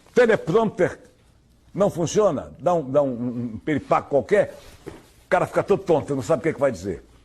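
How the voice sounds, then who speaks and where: A somewhat breathy man at a fairly high pitch, with very wide pitch swings and a moderate pace. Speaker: radio news announcer. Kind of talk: interview answer.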